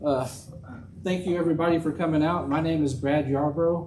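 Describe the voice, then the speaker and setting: A man with an American accent, a dark, mellow tone and fairly even intonation, in a room with audible echo. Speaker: political candidate. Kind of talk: campaign speech. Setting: church hall with audience. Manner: loud.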